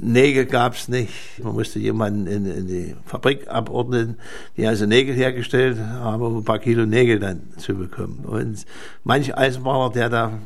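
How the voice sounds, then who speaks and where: Heard with audible room echo, a man speaks with fairly even intonation. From Thuringia, Germany. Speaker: retired railway worker. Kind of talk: interview recollection.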